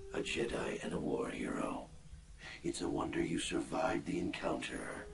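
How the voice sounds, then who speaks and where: Whispering in a put-on character voice at a moderate pace, a man is heard with a clear echo and loud background noise. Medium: game stream. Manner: cold, commanding.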